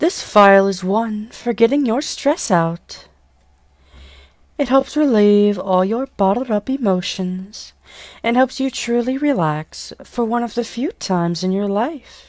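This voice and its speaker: A woman with a plain, everyday voice speaks at a fairly slow pace, her fairly high pitch carrying lively intonation. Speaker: hypnotist and voice actor. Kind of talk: hypnosis induction. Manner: slow, soothing.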